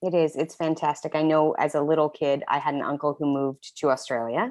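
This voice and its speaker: This woman speaks at a fairly quick pace in a very deep, low pitch, with an American accent. Her loudness is very even, her intonation fairly even, and the background is quiet. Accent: Canadian with some Texas. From Canada. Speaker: business coach. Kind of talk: interview conversation. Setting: remote call from home.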